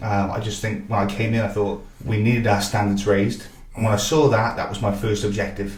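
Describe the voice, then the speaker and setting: A man speaks fairly quickly in a monotone, with flat intonation. Audible room echo and noticeable background noise fill the recording. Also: fairly low pitch for a man. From Wales (Barry), then Northern Ireland. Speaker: football technical director and coach. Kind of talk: interview. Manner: hesitant with fillers.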